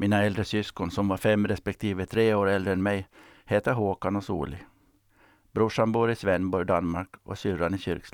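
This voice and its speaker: A man speaks at a moderate pace in a flat monotone with a fairly low pitch. The sound is dry and close with no echo, on a very clean recording with a silent background. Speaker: retired sea captain. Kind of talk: scripted narration.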